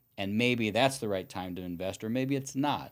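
A man speaks at a moderate pace, using an ordinary speaking voice and ordinary pitch variation, on a very clean recording with a silent background. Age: 50s. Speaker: real estate broker and attorney. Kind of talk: casual interview.

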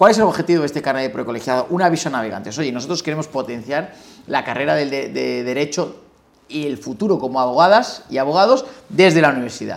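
Talking at a very fast pace, a man speaks with vocal fry. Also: fairly high pitch for a man, lively intonation. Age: 30s. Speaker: criminal lawyer and bar election candidate. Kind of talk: interview.

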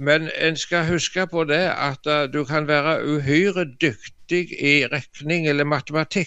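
This man's voice sits fairly high, with fairly even intonation. His pace is very slow. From Norway, Jæren (Rogaland). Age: old. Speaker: artist and preacher. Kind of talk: radio conversation, devotional reflection. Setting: phone or computer call from home living room.

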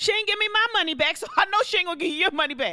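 Raised and projected, a woman's bright, sharp voice carries an animated tone over a very clean recording with a silent background. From US inner city. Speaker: podcast host, entrepreneur. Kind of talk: casual financial advice monologue.

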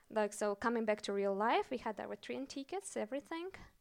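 A woman with a Russian accent speaks at a moderate pace with a fairly high pitch. The recording is very clean, with a silent background and a dry, close sound with no echo. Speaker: storyteller. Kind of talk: live storytelling. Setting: stage with audience.

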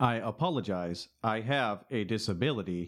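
A put-on robotic character voice from a man, medium in pitch, at a moderate pace

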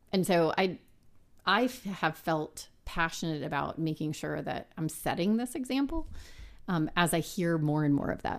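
A woman with an American accent speaks at a moderate pace in an ordinary speaking voice, fairly low in pitch, with lively intonation. The recording is very clean, with a silent background. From South Texas, San Antonio. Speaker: business executive. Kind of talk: interview.

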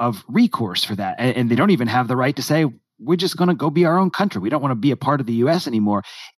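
The background is quiet as a man speaks with an American accent. His medium-pitched voice has lively intonation. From United States. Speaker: guest, friend of the host. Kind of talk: casual discussion.

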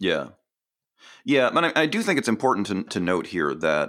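A man at a fairly quick pace in a very clean recording, the background silent. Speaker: educator and trainer. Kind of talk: casual interview chat. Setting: podcast interview. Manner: hesitant, filler-heavy.

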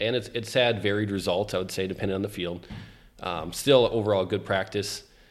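A man talks at a fairly quick pace with an American accent. His fairly low voice keeps a fairly even intonation. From US Midwest (Minnesota). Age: 20s. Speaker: farmer. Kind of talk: casual chat.

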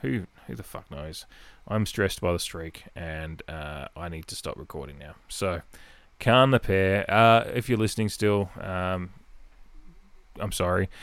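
With an Adelaide accent, a man with a very deep, low voice speaks at a fairly slow pace, using ordinary pitch variation and long, frequent pauses. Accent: Australian, Adelaide. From Adelaide, South Australia. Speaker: podcast host and Port Adelaide fan. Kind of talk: casual solo podcast chat. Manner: rambling, conversational, filler-heavy.

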